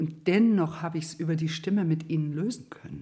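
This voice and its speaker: Somewhat breathy, a woman speaks at a very deep, low pitch with a dark, mellow tone. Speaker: voice therapist. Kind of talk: interview.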